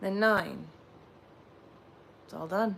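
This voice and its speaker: Soft-spoken, a woman talks at a moderate pace with ordinary pitch variation, and audible room echo surrounds her voice. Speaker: livestreamer leading sound bowl relaxation. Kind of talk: guided meditation. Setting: livestream.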